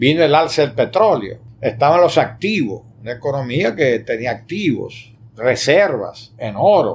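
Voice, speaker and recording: A somewhat breathy man's voice, fairly high in pitch, slow-ish in pace, with very wide pitch swings. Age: 70s. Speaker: historian and academic. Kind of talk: interview. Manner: halting.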